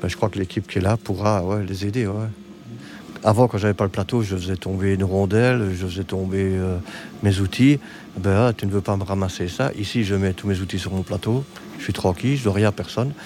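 The speaker has a plain, everyday voice. The intonation stays fairly even at a fairly quick pace. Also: man, fairly low pitch for a man. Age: 50s. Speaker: hospital technician and wheelchair user. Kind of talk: interview.

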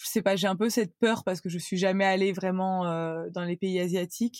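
The speech comes at a moderate pace, with a dry, close sound with no echo. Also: woman. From France, Cannes (Provence). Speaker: content creator. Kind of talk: casual chat.

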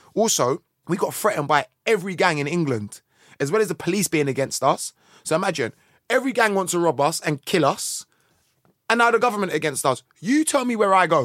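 On a very clean recording with a silent background and a dry, close sound with no echo, a man with a South London accent speaks at a fairly quick pace in a high pitch with very wide pitch swings. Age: 40s. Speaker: musician. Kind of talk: casual chat.

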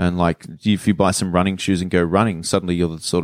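On a very clean recording with a silent background and a dry, close sound with no echo, a man with an Australian accent talks at a very fast pace in a very deep, low pitch. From Sydney, Australia (western suburbs). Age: 30s. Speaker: comedian. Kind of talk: casual chat.

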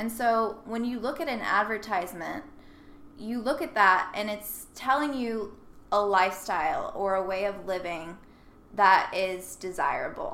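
Audible room echo around a woman with an American accent, a bright, sharp tone and a fairly slow pace. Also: medium pitch for a woman, ordinary pitch variation. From US South, Nashville, Tennessee. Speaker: model and sustainability blogger. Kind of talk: casual interview. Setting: in person, Brooklyn.

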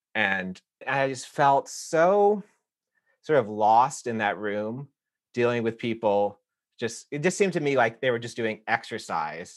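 A man with an unremarkable speaking voice talks at a medium pitch and a fairly slow pace. His intonation is lively, and the background is quiet. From US South. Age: 40s. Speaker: yoga teacher. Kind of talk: interview.

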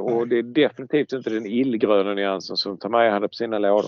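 A man talks at a very fast pace. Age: 60s. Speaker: scale model expert. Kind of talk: casual chat.

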